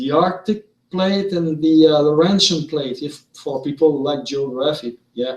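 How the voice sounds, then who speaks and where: Speaking fairly slowly in a Quebec accent, a man uses a fairly high pitch with ordinary pitch variation. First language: French. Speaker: vlogger. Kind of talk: monologue. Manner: halting.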